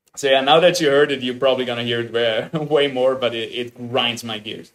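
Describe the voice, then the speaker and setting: A man speaks at a medium pitch with a slight Austrian accent. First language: German. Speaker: game streamer. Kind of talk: live stream reaction commentary. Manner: animated.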